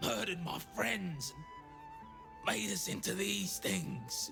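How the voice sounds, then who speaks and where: A man performs a raspy, put-on character voice. Clear music plays in the background. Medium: video game. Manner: stammering, fearful.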